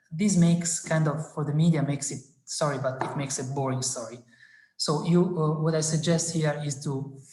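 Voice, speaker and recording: The words come at a moderate pace in a non-native accent. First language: not English. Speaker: science communication speaker. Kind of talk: webinar presentation. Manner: halting with many fillers.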